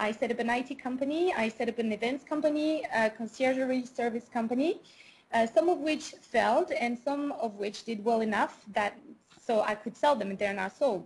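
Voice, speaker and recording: At a moderate pace, a woman with a high pitch talks with a strong French accent. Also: ordinary pitch variation. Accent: thick French. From France. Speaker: business owner. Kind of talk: interview. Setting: call. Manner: hesitant, many fillers.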